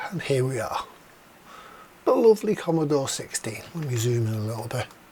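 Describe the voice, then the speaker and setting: A medium-pitched man at a fairly quick pace, pitch swinging very widely, with noticeable background noise. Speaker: retro computer hobbyist youtuber. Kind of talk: casual repair tutorial monologue. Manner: casual, rambling.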